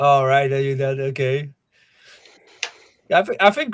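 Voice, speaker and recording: Somewhat breathy and fairly high-pitched, a man speaks with a Polish accent. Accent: Polish accent, retained. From Poland. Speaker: meadmaker. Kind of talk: casual chat.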